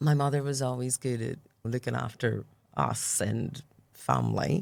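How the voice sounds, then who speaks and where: In a Northern Irish accent, a woman speaks at a moderate pace. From Northern Ireland, Belfast. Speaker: church member sharing testimony. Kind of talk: testimony interview.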